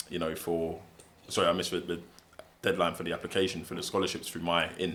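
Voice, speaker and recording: A man with a London accent has a very deep, low pitch and a bright, sharp tone. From England, South London. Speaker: barrister and football agent. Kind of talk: interview. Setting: in-person podcast sit-down.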